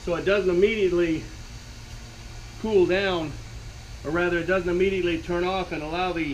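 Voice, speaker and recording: With noticeable background noise and audible room echo, a man with a high pitch speaks at a fairly quick pace in a monotone, flat intonation, leaving long, frequent pauses. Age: 60s. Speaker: DIY workshop video maker. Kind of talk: tutorial. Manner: halting, with many fillers.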